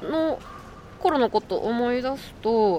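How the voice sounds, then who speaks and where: The woman's voice is a normal speaking voice at a fairly high pitch. Her intonation is lively. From Japan, Shiga Prefecture. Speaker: podcast co-host. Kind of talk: casual chat. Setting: outdoors.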